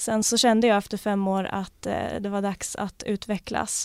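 The recording is very clean and the background silent. Her intonation, a woman's, stays monotone and flat. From Gotland, Sweden. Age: 20s. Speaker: newly graduated police officer. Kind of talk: casual interview. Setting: studio.

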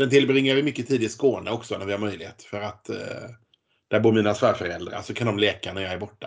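This man speaks very fast, his medium pitch moving with ordinary variation. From Sweden, Gothenburg. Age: 40s. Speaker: politician and former para swimmer. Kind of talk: interview.

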